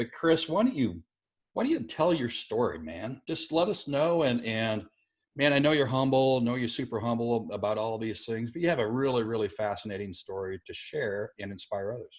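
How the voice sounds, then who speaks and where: In a normal speaking voice, a man with an American accent talks at a medium pitch with lively intonation, in a very clean recording with a silent background. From South Dakota, US. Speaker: podcast host. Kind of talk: podcast interview.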